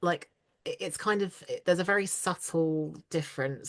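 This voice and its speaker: A woman speaks with an RP accent. Her intonation stays fairly even. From southeast England. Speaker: voice actress. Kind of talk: interview chat.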